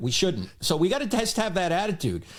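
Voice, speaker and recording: In a New Jersey accent, a man speaks at a high pitch and a fairly quick pace, his pitch swinging very widely, with audible room echo. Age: 60s. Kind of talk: podcast interview.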